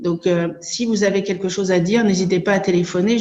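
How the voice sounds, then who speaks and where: Audible room echo surrounds a woman speaking at a moderate pace in a medium pitch with a dark, mellow tone. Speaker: association coordinator and abuse survivor. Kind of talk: conference talk. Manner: hesitant, many filler sounds.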